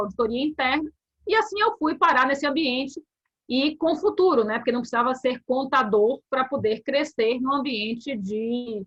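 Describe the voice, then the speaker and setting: In a Bahian accent, a woman with a high voice talks at a moderate pace, animated in tone and lively in intonation. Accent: Bahian Brazilian Portuguese. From Bahia, Brazil. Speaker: corporate compliance officer. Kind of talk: interview.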